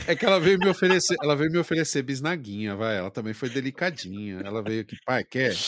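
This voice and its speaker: The speech races along at a very fast pace with hardly any pauses and very wide pitch swings, set against noticeable background noise. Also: man, medium pitch for a man. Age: 40s. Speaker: podcast co-host. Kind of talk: casual chat.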